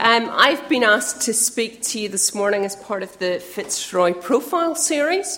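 Speaking at a moderate pace, a woman has a fairly high pitch and a plain, everyday voice. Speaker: youth worker making announcements. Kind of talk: church announcements.

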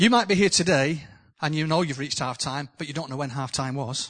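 A man with a northern English accent speaks at a fairly high pitch and a moderate pace. The background is quiet. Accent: northern English, noticeable. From northern England. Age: 60s. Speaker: preacher. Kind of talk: sermon. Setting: church with live audience.

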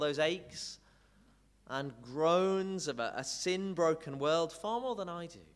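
This man has a plain, everyday voice, fairly high in pitch with ordinary pitch variation. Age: 30s. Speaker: preacher. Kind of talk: sermon.

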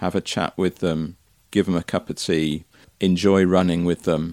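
A man with a West Country accent and a very deep, low voice is captured in a very clean, dry, close recording with no echo and a silent background. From Somerset, England. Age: 60s. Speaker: interviewee, community volunteer. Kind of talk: casual interview.

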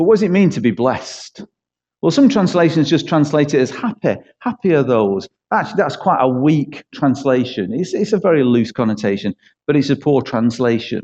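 A man with a Manchester accent talks at a fairly quick pace in a fairly high pitch. His dark, mellow tone carries very wide pitch swings. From East Manchester, England. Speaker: church pastor. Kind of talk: sermon. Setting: church.

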